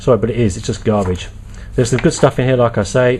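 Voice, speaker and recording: There is noticeable background noise as a man speaks at a fairly quick pace with fairly even intonation. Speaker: product reviewer. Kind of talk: casual video review. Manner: fast; halting, many fillers.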